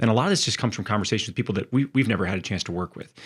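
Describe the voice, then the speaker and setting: A man at medium pitch with ordinary pitch variation, on a very clean recording with a silent background. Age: 40s. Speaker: podcast host and business coach for physical therapists. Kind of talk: solo podcast monologue. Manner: halting, many fillers and restarts.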